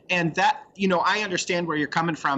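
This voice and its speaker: Fairly high male voice with ordinary pitch variation over noticeable background noise. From US, rural Oregon. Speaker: coffee roaster business owner. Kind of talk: interview.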